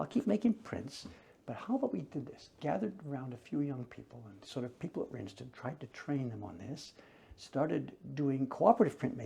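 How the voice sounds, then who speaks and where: A man speaks very fast with lively intonation and a medium pitch. His tone is dark and mellow, with vocal fry. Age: 70s. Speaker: woodblock printmaker. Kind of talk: casual conversation. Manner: reflective storytelling.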